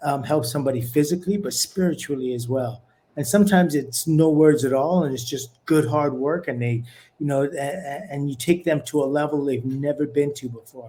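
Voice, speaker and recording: A man speaks at a fairly quick pace with a fairly high pitch and ordinary pitch variation. His tone is dark and mellow, and somewhat breathy. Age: 60s. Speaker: former professional boxer and fitness trainer. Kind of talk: podcast interview.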